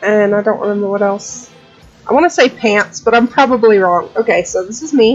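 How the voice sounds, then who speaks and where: Music plays behind a woman who talks at a moderate speed. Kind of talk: casual gaming commentary. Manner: rambling; loud.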